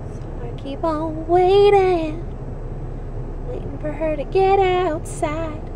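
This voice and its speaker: A woman with an extremely high pitch speaks at a very slow pace with long, frequent pauses, fairly even intonation and big swings in loudness, amid noticeable background noise and audible room echo. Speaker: vlogger. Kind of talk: casual vlog.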